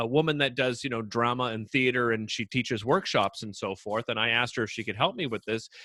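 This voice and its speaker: Recorded very cleanly against a silent background, a man speaks at a medium pitch with a bright, sharp, energetic tone and a dry, close sound with no echo. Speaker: talk show host. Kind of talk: interview.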